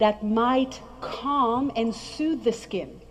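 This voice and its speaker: The voice has an animated tone. Noticeable background noise runs throughout. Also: woman. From French-speaking background. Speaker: skincare trainer. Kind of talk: presentation to an audience.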